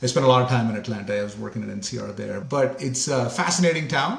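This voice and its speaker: A man talks at a fairly quick pace. Noticeable background noise and audible room echo come through. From India, Mumbai. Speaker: company CEO. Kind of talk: interview conversation.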